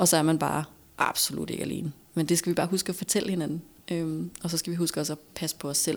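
The recording is very clean, with a silent background. A woman with a fairly low voice speaks very fast in a monotone, flat intonation. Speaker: former TV host, entrepreneur. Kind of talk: casual chat.

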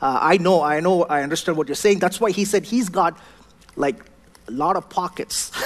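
A man speaks with a South Indian accent and a high pitch. His pitch varies in an ordinary way. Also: moderate pace. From southern India; Chennai, India. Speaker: pastor. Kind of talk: sermon. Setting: church.

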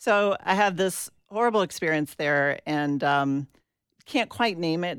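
A woman speaks with an American accent and lively intonation. The recording is very clean, with a silent background. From US South, Atlanta, Georgia. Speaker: reverend and faith activist. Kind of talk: interview conversation.

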